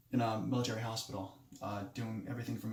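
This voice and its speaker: Over noticeable background noise and audible room echo, a man at medium pitch talks in a monotone, flat intonation. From Moldova (came to US at eight). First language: Romanian. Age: 20s. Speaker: nurse and military veteran, student. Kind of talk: self-introduction speech. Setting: self-recorded video. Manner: halting, many fillers and restarts.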